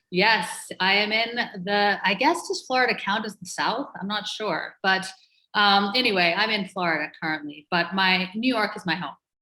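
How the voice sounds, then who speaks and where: A woman's bright, sharp voice with an American accent, medium in pitch and moderate in pace, with ordinary pitch variation on a very clean recording against a silent background. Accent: slight muddled Irish-North American. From Ireland and Canada, mixed. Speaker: entrepreneur and author. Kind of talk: interview conversation.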